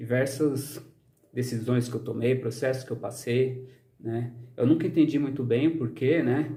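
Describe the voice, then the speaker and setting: This man has a fairly high pitch and a dark, mellow, somewhat breathy tone. His intonation stays fairly even at a moderate pace. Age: 30s. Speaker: social scientist and vlogger. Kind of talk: personal vlog monologue. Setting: outdoors in the sun. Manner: frequent fillers, hesitant.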